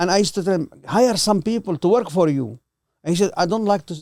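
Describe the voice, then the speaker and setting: The speaker talks at a fairly quick pace with a Levantine accent. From Lebanon, Palestinian refugee. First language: Arabic. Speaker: host's father. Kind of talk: casual interview. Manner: halting.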